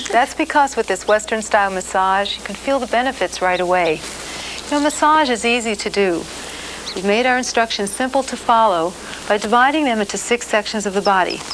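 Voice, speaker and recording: A woman talks at a fairly quick pace with ordinary pitch variation. Light background noise sits behind her. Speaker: massage instructor. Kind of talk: tutorial. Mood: warm, friendly, smiling.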